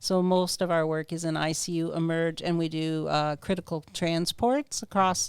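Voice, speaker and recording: A woman with a Canadian accent and a plain, everyday voice speaks at a fairly low pitch and a fairly slow pace. The recording is very clean with a silent background. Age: 60s. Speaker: political candidate. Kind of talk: podcast interview.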